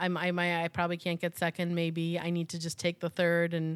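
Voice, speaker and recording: In an American accent, a woman talks at a fairly quick pace with a fairly low pitch, recorded dry and close with no echo on a very clean, silent background. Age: 40s. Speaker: podcast host. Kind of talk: casual chat.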